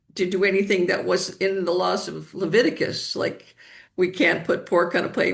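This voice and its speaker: At a moderate pace, a woman speaks with vocal fry. Her pitch sits at a medium level. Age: 70s. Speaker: energy healer. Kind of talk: interview.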